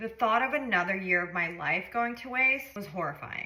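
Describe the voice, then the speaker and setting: A woman talks at a moderate pace with a fairly high pitch and lively intonation. The room echoes audibly, and there's noticeable background noise. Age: 30s. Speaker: lifestyle vlogger. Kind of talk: storytime monologue.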